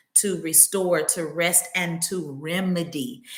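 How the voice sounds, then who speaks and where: A woman talks at a very slow pace, her pitch fairly low. Her voice is somewhat breathy. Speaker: wellness practitioner and podcaster. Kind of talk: podcast monologue. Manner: conversational, with fillers.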